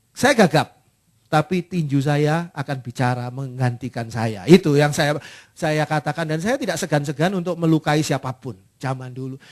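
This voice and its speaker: A man speaks at a moderate pace with ordinary pitch variation. The sound is dry and close with no echo, over a quiet background. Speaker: pastor. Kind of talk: sermon. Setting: church. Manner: fluent.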